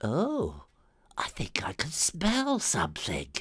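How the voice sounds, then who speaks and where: Whispering in a put-on character voice, a man delivers his lines. The pace is fairly slow. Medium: read story.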